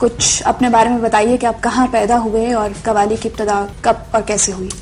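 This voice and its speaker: Over noticeable background noise, a woman talks in a fairly high pitch with monotone, flat intonation. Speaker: interviewer, TV host. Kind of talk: formal TV interview introduction.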